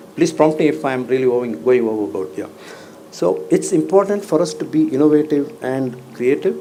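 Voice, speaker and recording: Speech moves at a moderate pace. Background noise is noticeable throughout. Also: man. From India, Bangalore. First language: Kannada. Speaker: banking executive, convocation speaker. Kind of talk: commencement speech.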